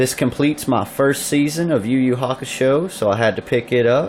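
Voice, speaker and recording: A man with a Southern US accent speaks at a medium pitch. Noticeable background noise runs under his voice. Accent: Southern US (Georgia). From US South, Georgia. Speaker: YouTuber showing collectibles and pickups. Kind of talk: casual video review. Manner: animated.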